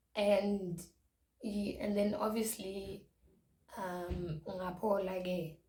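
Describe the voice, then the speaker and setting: Somewhat breathy and dark, mellow in tone, a woman speaks at a medium pitch with a Zulu accent and ordinary pitch variation. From South Africa. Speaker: YouTuber. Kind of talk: storytime vlog. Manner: code-switching English and Zulu.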